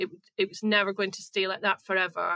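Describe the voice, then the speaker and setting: A woman speaks at a medium pitch and a fairly quick pace. Her tone is bright and sharp, the sound dry and close with no echo. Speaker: mental health blogger. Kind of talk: interview. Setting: remote call. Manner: at ease.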